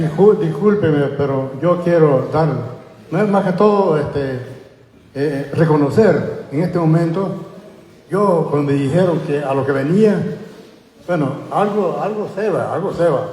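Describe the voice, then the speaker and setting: A man with a high pitch talks at a fairly slow pace, taking long, frequent pauses, his pitch varying in an ordinary way. Noticeable background noise and audible room echo surround him. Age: 70s. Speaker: community member. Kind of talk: public comment at community forum. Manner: halting.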